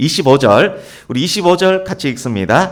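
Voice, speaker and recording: Pitch swings very widely here. Vocal fry is present too. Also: man. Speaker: pastor. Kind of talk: sermon.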